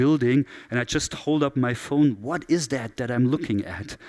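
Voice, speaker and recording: A man's medium-pitched voice in a German accent, at a moderate pace with ordinary pitch variation. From southern Germany. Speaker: keynote speaker, digital strategy expert. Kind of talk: conference keynote.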